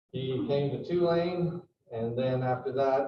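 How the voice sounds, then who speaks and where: The man's voice sits at a medium pitch and is somewhat breathy. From Mexico. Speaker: event host. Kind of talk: talk introduction; casual chat. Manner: hesitant.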